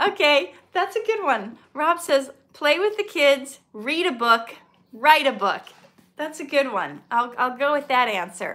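Talking at a fairly slow pace with an American accent, a woman has a high pitch, a warm yet bright, sharp tone, and very wide pitch swings. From US Midwest, Minnesota. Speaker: actor and poet, channel host; actor, poet, channel host. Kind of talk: live-stream Q&A. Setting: live stream video. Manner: warm, chatty. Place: home room. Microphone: phone near.

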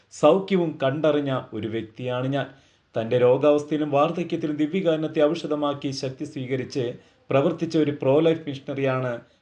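A plain, everyday voice carries fairly even intonation. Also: man, fairly high pitch for a man. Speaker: doctor giving a faith talk. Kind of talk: religious talk. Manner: formal.

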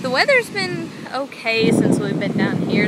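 The recording carries loud background noise with a dry sound with no echo. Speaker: vlogger. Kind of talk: casual vlog talk to camera. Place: beach. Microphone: phone near.

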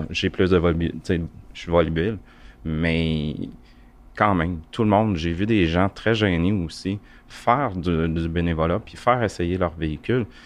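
Over a quiet background, a man speaks fairly slowly. His very deep, low voice shows ordinary pitch variation. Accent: Quebec. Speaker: volunteer, electric car owner. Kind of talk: casual group discussion. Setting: makeshift studio at an event.

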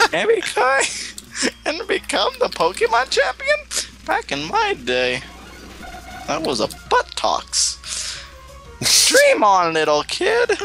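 Over clear background music, a man talks at a very slow pace in a put-on character voice. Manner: scornful, taunting.

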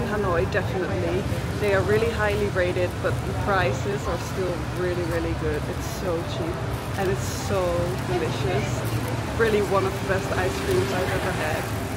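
The speech moves at a moderate pace. Loud noise fills the background. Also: woman. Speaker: food vlogger. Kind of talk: casual vlog chat. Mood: upbeat, enthusiastic. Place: street. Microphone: phone near.

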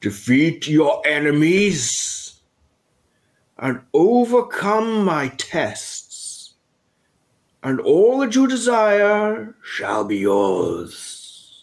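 A man uses a booming, put-on character voice with very wide pitch swings. He speaks at a very slow pace. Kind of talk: role-play narration in character. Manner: grand, commanding.

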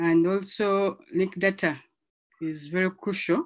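Against a quiet background, a woman speaks with fairly even intonation at a fairly low pitch. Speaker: conference track facilitator. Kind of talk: session introduction. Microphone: video call.

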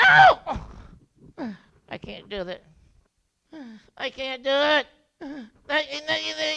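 A put-on character voice, high and whiny, delivered at a very slow pace. Long pauses come often between the words. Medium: puppet show. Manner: frightened, whiny, refusing.

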